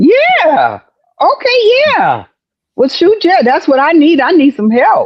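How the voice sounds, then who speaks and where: Spoken very slowly in a Southern US accent, the voice keeps a very even loudness while its pitch swings very widely. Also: woman, extremely high pitch for a woman. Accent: Southern US (Georgia). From US South, Georgia. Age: 60s. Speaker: comedian and actress. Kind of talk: casual chat.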